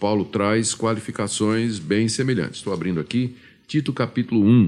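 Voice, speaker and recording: On a very clean recording with a silent background, a man with a Pernambuco accent and a fairly low pitch talks at a moderate pace. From Brazil, Pernambuco. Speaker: pastor. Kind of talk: radio Q&A, Bible exposition. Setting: studio. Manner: hesitant, with fillers.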